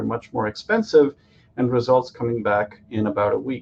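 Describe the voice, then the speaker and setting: The voice belongs to a man with a medium pitch. He talks at a fairly quick pace with ordinary pitch variation. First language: Tamil. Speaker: physician-scientist and startup founder. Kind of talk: startup pitch. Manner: hesitant, many fillers.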